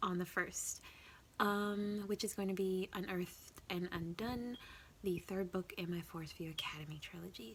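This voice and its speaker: Speech comes at a moderate pace in a somewhat breathy tone. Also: woman, medium pitch for a woman, ordinary pitch variation. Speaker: writing vlogger. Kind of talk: casual vlog. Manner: hesitant, many fillers.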